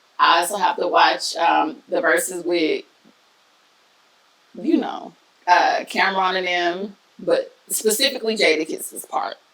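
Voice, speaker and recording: Amid noticeable background noise, a woman sounds animated as she talks at a fairly slow pace with long, frequent pauses. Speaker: podcast host. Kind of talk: casual chat.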